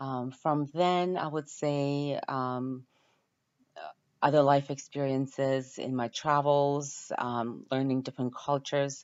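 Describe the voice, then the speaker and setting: A woman's very deep, low voice, very slow and monotone, with flat intonation. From Ukraine. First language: Ukrainian. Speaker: university student. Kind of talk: class introduction video. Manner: hesitant, many filler words.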